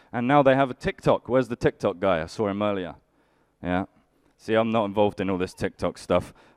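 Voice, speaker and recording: Recorded with a dry, close sound and no echo, a man with an unremarkable speaking voice talks fairly quickly at a fairly low pitch with ordinary pitch variation. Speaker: stand-up comedian. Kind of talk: live stand-up comedy set. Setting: live stage with audience.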